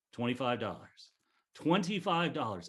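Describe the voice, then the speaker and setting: A man is speaking. His voice has vocal fry. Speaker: auctioneer. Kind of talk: charity auction calling. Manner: humorous, bantering.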